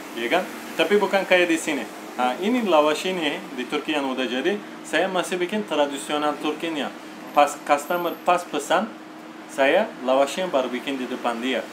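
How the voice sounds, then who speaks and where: There is noticeable background noise. A man with a fairly high pitch speaks at a moderate pace with ordinary pitch variation. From Turkey. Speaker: kebab shop owner. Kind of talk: interview.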